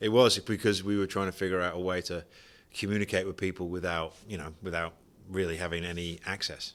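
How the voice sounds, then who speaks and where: On a very clean recording with a silent background, a man with a British accent speaks fairly quickly in a very deep, low pitch, his intonation monotone and flat. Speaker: vacuum sealer distributor, company founder. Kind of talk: podcast interview.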